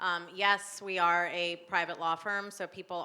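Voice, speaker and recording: A woman's fairly low, bright and sharp voice, monotone and flat, at a fairly slow pace. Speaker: immigration attorney. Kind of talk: panel discussion.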